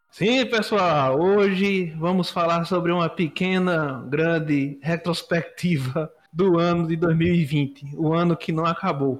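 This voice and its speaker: A man's high voice at a very slow pace, with ordinary pitch variation, very even loudness and hardly any pauses. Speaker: podcast host. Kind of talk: casual chat.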